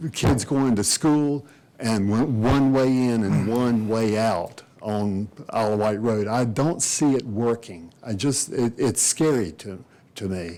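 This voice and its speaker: Very slowly, a man with an American accent speaks at a medium pitch in a dark, mellow tone, his pitch varying in an ordinary way. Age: 70s. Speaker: resident speaking at public meeting. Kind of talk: public comment. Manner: halting.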